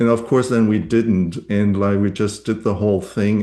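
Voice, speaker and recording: In a German accent, a man speaks at a moderate pace with a fairly low pitch, a dark, mellow tone and monotone, flat intonation. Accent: German accent, lasting. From Germany. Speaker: novelist. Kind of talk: casual conversation at a reading event. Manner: halting, many fillers.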